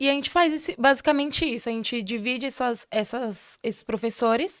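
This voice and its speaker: A woman speaks in an unremarkable speaking voice, fairly high in pitch, at a fairly quick pace. Her pitch varies in an ordinary way, and the recording is very clean with a silent background. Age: 20s. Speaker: history student and social project founder. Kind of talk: interview.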